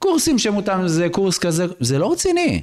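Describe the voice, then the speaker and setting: Against a quiet background, a man with a high pitch talks at a fairly slow pace, his pitch swinging very widely. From Israel, Bnei Brak (Haredi community); Israel. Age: 40s. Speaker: rabbi, reserve officer and lawyer; rabbi, lawyer. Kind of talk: podcast interview. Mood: earnest, explanatory. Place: studio. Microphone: studio mic.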